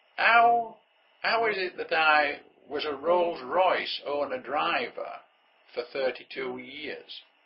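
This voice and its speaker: Speaking at a very slow pace, a man talks with a northern English accent. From northern England. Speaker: entrepreneur. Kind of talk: motivational monologue. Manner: conversational.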